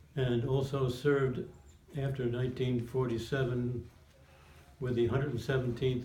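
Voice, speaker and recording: The speaker has an American accent, a moderate pace and monotone, flat intonation, with audible room echo. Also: man. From New Jersey (Montclair). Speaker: war veteran. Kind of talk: oral history interview.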